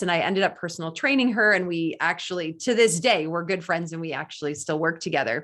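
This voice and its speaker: A woman's enthusiastic, very fast speech at a fairly low pitch. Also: ordinary pitch variation. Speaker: race announcer and radio host. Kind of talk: interview answer.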